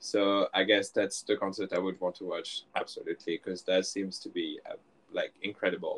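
The man's moderate-paced speech has a dry, close sound with no echo. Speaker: fan guest. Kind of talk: casual chat.

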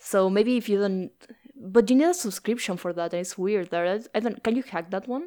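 A woman with a Spanish accent, dark and mellow in tone, at a fairly quick pace. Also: medium pitch for a woman, ordinary pitch variation. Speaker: podcast host. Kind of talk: casual chat.

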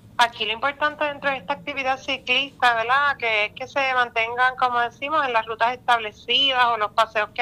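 Against a quiet background, a woman speaks at a moderate pace in a high voice with a bright, sharp tone and monotone, flat intonation. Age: young. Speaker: tourism official. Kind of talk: radio interview.

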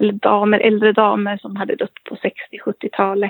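Her intonation stays monotone and flat. The woman's delivery is fairly slow. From Sweden, Köping (Västmanland). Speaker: medium. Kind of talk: interview storytelling.

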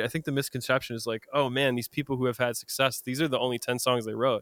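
A man with an American accent, bright and sharp in tone at medium pitch, very fast and monotone with flat intonation, in a dry, close sound with no echo. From US Midwest, Madison, Wisconsin. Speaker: singer-songwriter. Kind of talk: casual chat.

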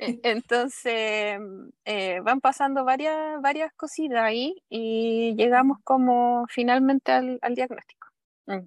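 A woman speaks in a high voice at a very slow pace. Her pitch varies in an ordinary way, and the sound is dry and close with no echo. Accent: Chilean. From southern Chile. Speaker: mother seeking coaching. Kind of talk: personal testimony in coaching session. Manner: halting.

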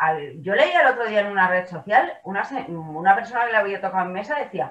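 Here is a woman with a plain, everyday voice. Her intonation is lively and her pace moderate. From Badalona, Catalonia. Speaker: lawyer, political panelist. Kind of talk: panel discussion.

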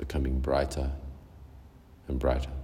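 A man with a very deep, low pitch and a calm, soothing tone speaks over noticeable background noise. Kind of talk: guided meditation. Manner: slow, soothing and unhurried, with long pauses between short gentle cues; calm, soft-spoken and hypnotic, repeating phrases like 'deeper and deeper'.

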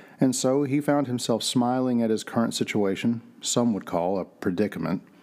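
A man talks at a fairly quick pace in a plain, everyday voice with ordinary pitch variation. The recording is very clean, with a silent background. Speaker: narrator of mystery audio drama. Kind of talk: scripted noir-style audio drama narration, read aloud as a mystery story. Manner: measured, atmospheric storyteller delivery with a hushed, suspenseful build; formal and descriptive, literary pacing.

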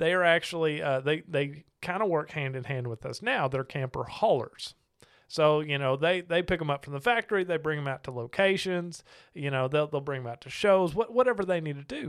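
A man talks at a fairly quick pace in a fairly high voice. The recording is very clean, with a silent background. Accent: Southern US. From Arkansas. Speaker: podcast host, RV salesman. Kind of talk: casual interview chat over beers.

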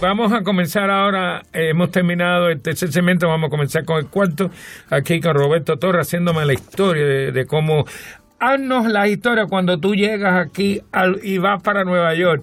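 At a fairly quick pace, a man speaks in a high pitch with ordinary pitch variation and very even loudness. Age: old. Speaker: radio host. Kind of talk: interview.

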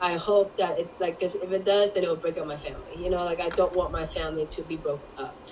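A woman with a Cantonese accent talks at a very fast pace in a medium pitch, flat and monotone, with hardly any pauses and noticeable background noise. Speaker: guest. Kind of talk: casual interview chat.

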